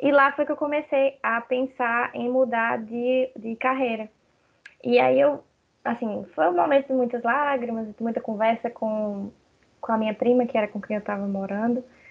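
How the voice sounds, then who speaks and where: This is a woman with a normal speaking voice in a fairly high pitch. She talks at a moderate pace with ordinary pitch variation. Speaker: lawyer and graphic designer. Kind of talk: casual chat.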